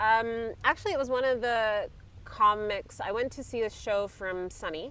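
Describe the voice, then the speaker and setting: Speaking with a Canadian accent, a woman with a fairly high pitch and a bright, sharp tone shows ordinary pitch variation and big swings in loudness. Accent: Canadian accent, kept despite years in Europe. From Canada, Vancouver, British Columbia. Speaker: comedian. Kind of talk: casual chat. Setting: outdoors. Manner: fast.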